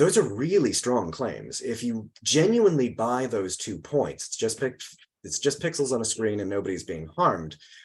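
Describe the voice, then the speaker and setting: Using a medium pitch and vocal fry, a man speaks at a moderate pace with very wide pitch swings. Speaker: philosophy professor. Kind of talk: academic talk.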